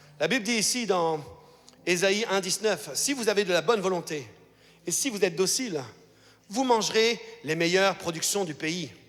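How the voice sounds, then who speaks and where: A man speaks in a high pitch with lively intonation at a moderate pace. He leaves long, frequent pauses, and noticeable background noise can be heard. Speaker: pastor. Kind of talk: sermon. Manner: animated.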